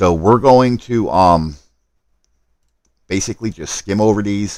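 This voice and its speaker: Lively intonation marks a man's speech at a fairly slow pace. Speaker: gaming livestreamer. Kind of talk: live stream gameplay commentary. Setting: live stream.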